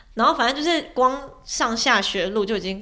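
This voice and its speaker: Her tone bright and sharp, a woman speaks at a fairly high pitch with lively intonation. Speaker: former overseas student, online editor and YouTuber. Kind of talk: casual chat. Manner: animated, talkative.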